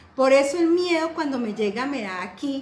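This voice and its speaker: Lively intonation from a woman with a high pitch, with audible room echo and noticeable background noise. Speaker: life coach. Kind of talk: online class.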